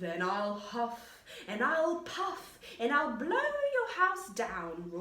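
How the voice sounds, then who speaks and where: A bellowing, put-on character voice, female-sounding and high-pitched, very slow, with very wide pitch swings and a slight echo. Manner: roaring, menacing.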